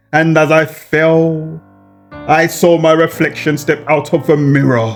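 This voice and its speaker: Music sits in the background while a man talks. His pitch is fairly high, and his pace is very slow. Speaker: horror story narrator. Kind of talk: horror story narration. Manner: emotional, fervent.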